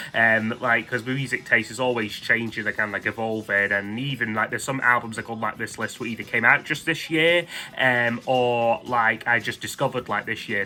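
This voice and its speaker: Speaking in a Scottish accent, a man moves at a fairly quick pace. His medium-pitched voice has ordinary pitch variation. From Scotland. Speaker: music YouTuber. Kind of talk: casual monologue countdown. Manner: hesitant, many fillers.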